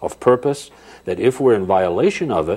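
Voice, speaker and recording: With an American accent, the speaker talks at a moderate pace. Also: man. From New Hampshire, US. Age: 60s. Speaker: researcher and speaker. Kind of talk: interview conversation; demonstration.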